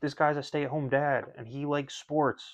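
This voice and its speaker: A man's fairly high voice at a moderate pace over a quiet background. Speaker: sports YouTuber, stay-at-home dad. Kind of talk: casual vlog monologue. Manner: monotone.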